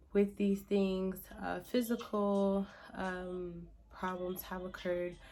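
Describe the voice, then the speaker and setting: A woman at a medium pitch and a fairly slow pace. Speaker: vlogger talking about mental health and motherhood. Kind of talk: casual talk to camera. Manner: hesitant, many fillers.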